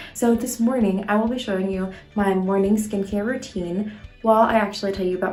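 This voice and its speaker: A woman whispers at a moderate pace. Room echo is audible and background noise is noticeable. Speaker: medical student vlogger. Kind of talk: casual vlog tutorial. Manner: whispering.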